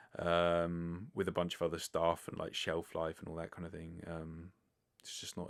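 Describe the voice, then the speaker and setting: In a British accent, a man speaks with a very deep, low pitch. His delivery is monotone and flat at a moderate pace. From Britain. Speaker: vegan podcast host. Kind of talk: casual monologue answering listener questions. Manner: casual, filler-heavy (likes, ers).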